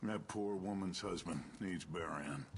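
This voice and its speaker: A man's put-on character voice, raspy and very deep and low in pitch, at a moderate pace over clear background noise. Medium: video game. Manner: firm, curt.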